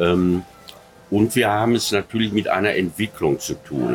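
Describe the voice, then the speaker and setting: Music plays behind a man whose fairly low voice shows ordinary pitch variation. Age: 70s. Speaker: author and science fiction historian. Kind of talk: interview. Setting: outdoor restaurant. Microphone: poor sound quality.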